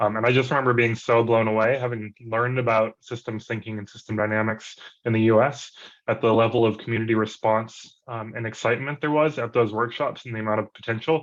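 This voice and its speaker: Over a quiet background, a man with an American accent speaks very fast at medium pitch in a flat monotone. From USA, urban area. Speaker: public health researcher. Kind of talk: event reflection talk. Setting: video call.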